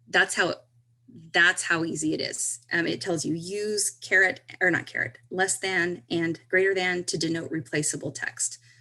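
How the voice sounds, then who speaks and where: A woman speaks at a fairly low pitch with a bright, sharp tone. Her pitch variation is ordinary. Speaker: direct sales consultant demonstrating software. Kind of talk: screen-share tutorial. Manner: slow; halting.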